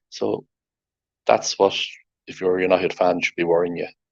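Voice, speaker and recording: A man with an Irish accent, talking at a fairly quick pace. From Ireland. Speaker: football podcast host. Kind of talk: casual chat.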